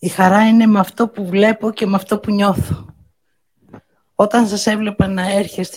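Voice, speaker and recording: A woman talks at a moderate pace in a medium, somewhat breathy voice with fairly even intonation. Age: 60s. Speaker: birthday host giving a speech. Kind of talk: birthday speech to guests.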